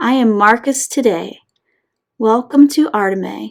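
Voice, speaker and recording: Using a put-on character voice, a woman speaks at a fairly slow pace with a fairly high pitch. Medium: read story.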